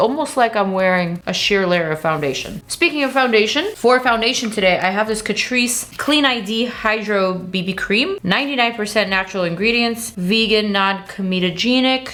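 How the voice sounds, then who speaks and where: A woman speaks fairly high in pitch, with ordinary pitch variation. Her pace is moderate, and noticeable background noise is present. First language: not English. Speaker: beauty YouTuber. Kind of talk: makeup review tutorial. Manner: animated.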